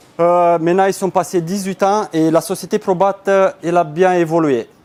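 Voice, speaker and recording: Speaking fairly slowly in a Romanian accent, a man uses a high pitch. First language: Romanian (speaking French). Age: 30s. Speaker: business owner. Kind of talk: conference talk. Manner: hesitant.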